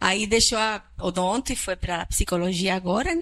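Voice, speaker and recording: A woman speaks with a Chilean accent and lively intonation. The recording is very clean, with a silent background. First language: Spanish (speaking Portuguese). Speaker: psychiatrist. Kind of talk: public talk.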